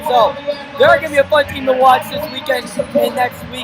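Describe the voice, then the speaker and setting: A man talks in an animated tone. Noticeable background noise can be heard. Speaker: play-by-play sports commentator. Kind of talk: live commentary. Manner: loud.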